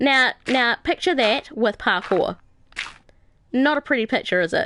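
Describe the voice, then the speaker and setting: Speaking with a New Zealand accent, a woman uses lively intonation at a fairly slow pace. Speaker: gaming live streamer. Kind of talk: casual live stream chat. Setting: live stream. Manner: hesitant, many fillers.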